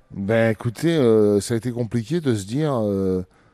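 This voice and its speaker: On a dry, close recording with no echo, a man at medium pitch speaks with a dark, mellow tone. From northern France, Picardy (Abbeville). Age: 40s. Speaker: retired professional boxer. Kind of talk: interview. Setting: gym.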